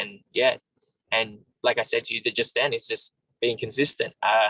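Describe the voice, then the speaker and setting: A man talks with an Australian accent. The sound is dry and close, with no echo. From Australia, Sydney. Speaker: MMA fighter. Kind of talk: interview.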